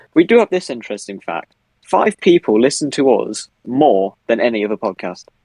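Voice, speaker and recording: The voice swings very widely in pitch. The sound is dry and close, with no echo. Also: man. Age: 20s. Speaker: comedy podcast co-host. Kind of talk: casual chat.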